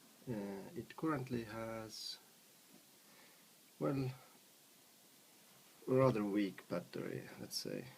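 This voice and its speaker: With a non-native accent, a man speaks at a very slow pace and a fairly low pitch, his voice making very wide pitch swings. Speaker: electronics hobbyist. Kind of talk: casual tutorial narration. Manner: mumbling.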